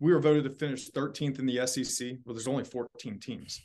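An ordinary speaking voice at a fairly quick pace, with fairly even intonation over a quiet background. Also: man. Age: 30s. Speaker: college baseball coach. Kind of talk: casual interview.

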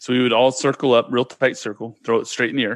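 Moving at a fairly quick pace, a man speaks with an American accent. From California, Sacramento. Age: 40s. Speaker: podcast guest. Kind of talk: casual chat.

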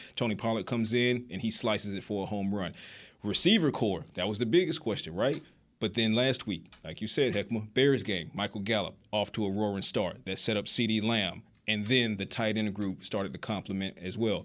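A man with an American accent has a plain, everyday voice, fairly low pitch and ordinary pitch variation. He talks at a fairly quick pace on a very clean recording with a silent background. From Georgia, US South. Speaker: football reporter. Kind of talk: casual sports talk.

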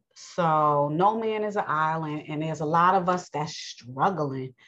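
With a New York accent, a woman speaks at a fairly slow pace and uses ordinary pitch variation. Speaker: religious podcast host. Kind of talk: bible teaching monologue. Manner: casual, conversational; halting, many fillers.

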